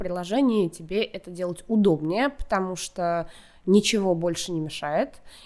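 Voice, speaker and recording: A woman's fairly low, fairly slow delivery in an ordinary speaking voice, with ordinary pitch variation, on a very clean recording with a silent background. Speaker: content director at a video platform. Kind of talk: casual interview.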